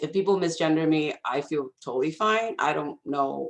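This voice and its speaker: The woman's voice sits at a very deep, low pitch. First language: not English. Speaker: alumni panelist. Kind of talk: panel discussion.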